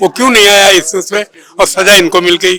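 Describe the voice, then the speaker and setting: A man raises and projects a high voice with ordinary pitch variation. Noticeable background noise surrounds a dry, close sound with no echo. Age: 80s+. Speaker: voter. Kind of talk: street interview. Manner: halting.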